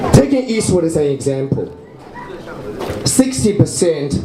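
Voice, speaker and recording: Speaking at a fairly slow pace with a Chinese accent, a man makes very wide pitch swings amid audible room echo and noticeable background noise. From China. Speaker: local election candidate. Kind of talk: campaign speech.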